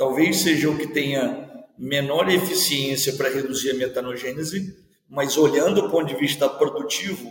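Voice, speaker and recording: A man speaks in a fairly high voice at a moderate pace. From Rio de Janeiro, Baixada Fluminense. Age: 50s. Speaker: university professor. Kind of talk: interview. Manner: long-winded.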